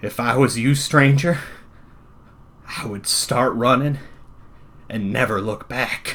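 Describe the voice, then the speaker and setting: A man does a shaky, put-on character voice at a medium pitch. He goes at a fairly slow pace with long, frequent pauses. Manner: warning, fearful.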